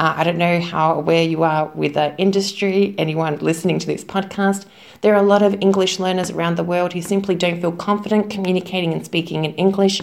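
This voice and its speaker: Talking at a fairly quick pace, a woman keeps a medium pitch and fairly even intonation. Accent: Australian. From Melbourne, Australia. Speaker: English teacher, influencer. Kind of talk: recorded interview answer.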